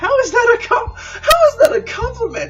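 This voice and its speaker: Over clear music in the background, a man puts on a squeaky character voice at an extremely high pitch, talking at a moderate pace. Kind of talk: falsetto feminine voice put on by male reader. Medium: read story.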